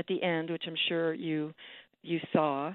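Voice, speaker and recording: Here is a woman with a plain, everyday voice and an American accent. Her pitch is fairly low and her pace moderate. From New York City, Manhattan. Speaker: poet. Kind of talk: radio interview.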